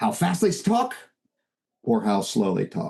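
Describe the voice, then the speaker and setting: The man's tone is energetic. His pace stays fairly slow. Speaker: real estate sales coach. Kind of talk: webinar training talk. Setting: video call webinar.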